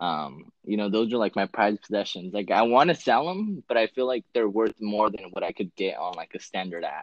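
This man has an ordinary speaking voice with a fairly low pitch. He talks at a fairly quick pace. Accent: American. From California, small town. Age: 20s. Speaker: sneaker buyer and concertgoer. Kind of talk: casual chat. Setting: call.

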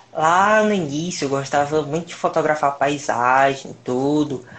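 A man with an ordinary speaking voice, fairly high in pitch, with ordinary pitch variation and a fairly slow pace. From Brazil, Piauí. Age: 20s. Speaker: mobile photographer. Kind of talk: casual interview on live stream.

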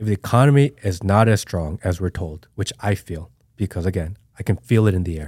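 This man's voice is very deep and somewhat breathy, with ordinary pitch variation. He talks at a fairly quick pace. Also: very clean recording, silent background. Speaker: podcast host. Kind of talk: casual interview.

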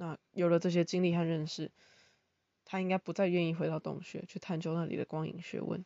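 A woman at a fairly quick pace, fairly low in pitch, with monotone, flat intonation. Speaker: podcaster and part-time teaching assistant. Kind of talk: casual monologue explaining philosophy.

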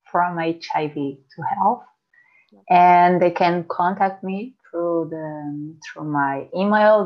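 A woman speaks very slowly with a non-native accent. Her pitch is fairly low. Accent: noticeable foreign. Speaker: health coach. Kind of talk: interview.

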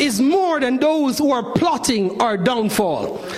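An animated man speaks with lively intonation. Background noise is noticeable. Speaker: preacher. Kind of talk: sermon. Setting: church with congregation. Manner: animated, impassioned preaching with rhetorical flourish; formal, elevated pulpit diction.

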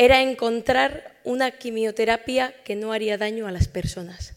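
In an ordinary speaking voice, a woman talks at a fairly high pitch with ordinary pitch variation. She keeps a fairly slow pace. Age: 20s. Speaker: medical researcher. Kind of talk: award acceptance speech. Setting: stage with audience.

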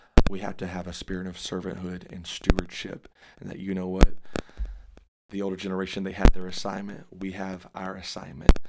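Against noticeable background noise, a man with an American accent talks at a fairly quick pace in a very deep, low pitch, his intonation monotone and flat while his loudness swings widely. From Dallas, Texas. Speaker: evangelist preacher. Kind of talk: casual interview about ministry, preachy at times.

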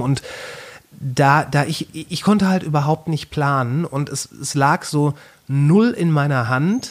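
A man talks in an ordinary speaking voice with fairly high pitch and ordinary pitch variation. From Ruhr area, Germany (Kamen). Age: 40s. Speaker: podcaster. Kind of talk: casual chat.

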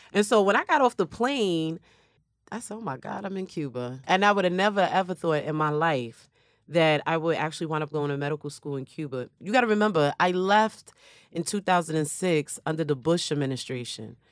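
With an American accent, a woman in a plain, everyday voice speaks at a fairly quick pace, her fairly low pitch carried by lively intonation. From New York City, South Bronx. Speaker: emergency physician. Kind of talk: interview testimony.

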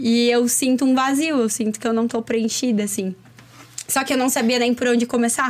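Her loudness very even and her intonation fairly even, a woman talks at a high pitch amid noticeable background noise. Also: moderate pace. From Chapecó, Santa Catarina, southern Brazil. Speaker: entrepreneur and women's personal development coach. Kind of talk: casual interview chat. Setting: studio.

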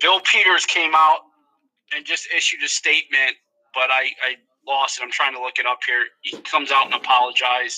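With a plain, everyday voice, a man talks at a moderate pace and a fairly high pitch, his intonation fairly even and the sound dry and close with no echo. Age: 40s. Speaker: hockey fan co-host. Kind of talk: casual chat.

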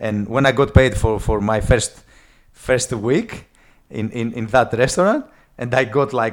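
Speaking very slowly, a man leaves long, frequent pauses. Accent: strong Greek. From Greece. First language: Greek. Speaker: guest sharing life story. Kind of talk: casual interview. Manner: halting with repeated words.

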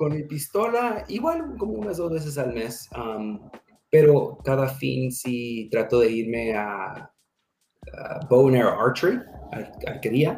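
In an English accent, a man of medium pitch speaks at a very slow pace with lively intonation. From US, raised from age two, born in Mexico. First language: English (speaking Spanish). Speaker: security manager, military veteran. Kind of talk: interview.

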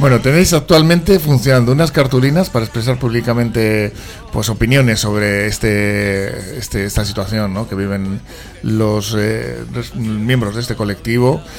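At a moderate pace, a man speaks at medium pitch with ordinary pitch variation over noticeable background noise. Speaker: radio host. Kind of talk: radio interview. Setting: studio.

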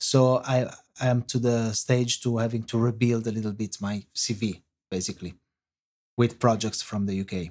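A man talks with an Italian accent. His intonation stays fairly even. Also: medium pitch for a man, moderate pace. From Italy. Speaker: film and TV composer. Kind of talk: interview. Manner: halting, many fillers.

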